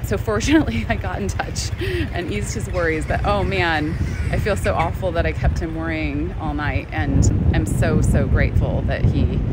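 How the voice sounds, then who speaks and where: A woman speaks at a moderate pace in a dry sound with no echo. Loud background noise fills the recording. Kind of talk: casual vlog chat. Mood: cheerful, laughing often. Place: beach. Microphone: phone near.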